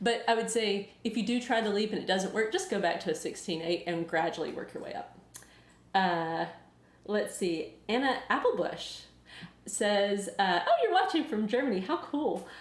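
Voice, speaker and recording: A woman with a Southern US accent speaks at a moderate pace with lively intonation. Her pitch is fairly high, and audible room echo surrounds her. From US South. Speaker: weight loss YouTuber and author. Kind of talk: live Q&A. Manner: casual, hesitant with many fillers.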